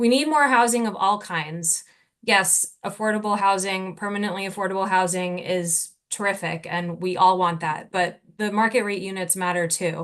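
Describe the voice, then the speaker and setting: An unremarkable speaking voice belongs to this woman. Her pitch is medium with ordinary variation, and her pace is moderate. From New Jersey. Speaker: local resident speaking at public hearing. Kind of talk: public comment.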